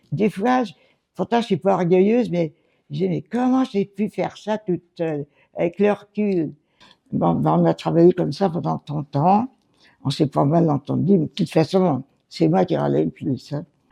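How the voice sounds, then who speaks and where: A woman's fairly low voice with a dark, mellow tone and vocal fry, in a dry, close sound with no echo. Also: moderate pace, big swings in loudness. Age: 90s. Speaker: retired seamstress and company secretary. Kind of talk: interview, life story. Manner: halting, with hesitations.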